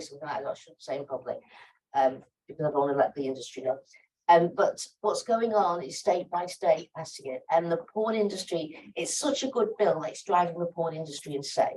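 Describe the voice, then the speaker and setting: Her intonation is lively and her loudness swings widely as the woman talks at a fairly quick pace. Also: fairly low pitch for a woman. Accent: American. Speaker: sociologist and activist panelist. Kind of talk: panel Q&A answer. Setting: conference side event with audience. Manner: animated, conversational with fillers.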